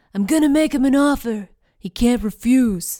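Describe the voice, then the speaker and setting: Using a put-on character voice, a female-sounding speaker talks at a high pitch. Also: moderate pace. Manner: bad impression.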